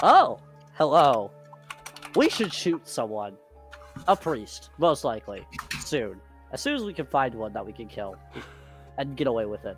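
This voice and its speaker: A put-on character voice with a robotic quality, pitched low-to-middle. It moves at a moderate pace over clear background music. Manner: eager, bloodthirsty, cheerful menace.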